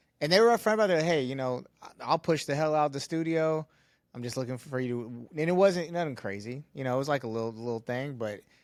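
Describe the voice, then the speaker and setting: Very fast speech from a man carries lively intonation. The recording is very clean, with a silent background. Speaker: podcast co-host, studio owner. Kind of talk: casual chat.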